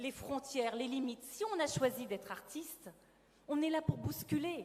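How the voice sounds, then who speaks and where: A woman speaks at a fairly slow pace. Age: 50s. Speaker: actress and theatre producer. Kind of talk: testimony.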